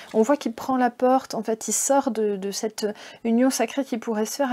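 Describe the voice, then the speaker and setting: Here a woman talks at a moderate pace. Her pitch is fairly high, with ordinary pitch variation. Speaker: tarot card reader. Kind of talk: card reading guidance. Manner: casual, hesitant with fillers.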